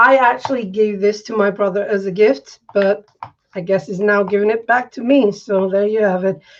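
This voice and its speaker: A woman talks at a moderate pace and a medium pitch. Her intonation is fairly even. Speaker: art tutor. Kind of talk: live drawing tutorial. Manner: monotone.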